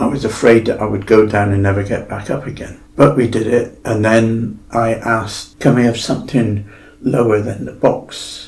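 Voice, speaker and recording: Against audible room echo, a man with a West Country accent talks at a moderate pace and medium pitch, his intonation monotone and flat and his speech almost without pauses. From Devon, south-west England. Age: 70s. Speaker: fitness client sharing his story. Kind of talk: podcast interview.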